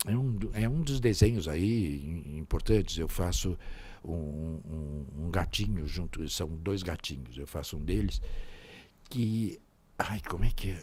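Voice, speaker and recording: At a very slow pace, a man with a very deep, low pitch and a dark, mellow tone speaks somewhat breathily, with lively intonation. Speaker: voice actor. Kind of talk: interview answer.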